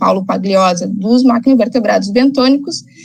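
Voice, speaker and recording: A somewhat breathy woman speaks at a moderate pace and a fairly high pitch with ordinary pitch variation, with audible room echo. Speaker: ecologist and environmental consultant. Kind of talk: lecture.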